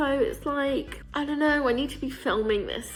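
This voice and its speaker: A woman with an English accent speaks at a high pitch and a moderate pace. Noticeable background noise runs underneath. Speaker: lifestyle vlogger. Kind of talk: casual vlog to camera. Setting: alone at home in flat. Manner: chatty, self-interrupting.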